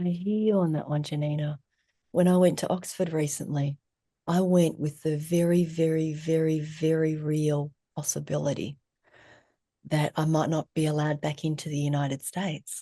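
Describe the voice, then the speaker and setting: Speaking in an Australian accent at a moderate pace, a woman has a very deep, low pitch, a dark, mellow tone and monotone, flat intonation. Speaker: therapist and trauma educator. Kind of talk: casual interview conversation.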